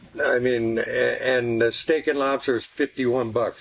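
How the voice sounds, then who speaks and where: Noticeable noise fills the background while a man talks at a moderate pace. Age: 60s. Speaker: vlogger. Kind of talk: casual chat. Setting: outdoors, camped in backyard. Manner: halting, many fillers and repeats.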